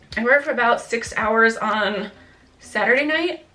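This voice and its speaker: A woman's high-pitched voice at a fairly slow pace, with ordinary pitch variation and noticeable background noise. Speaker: beauty and fitness vlogger. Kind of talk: casual product review.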